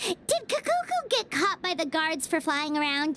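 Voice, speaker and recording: A squeaky, put-on character voice at an extremely high pitch, moderate in pace, with clear background noise. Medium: video game. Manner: refers to self in third person.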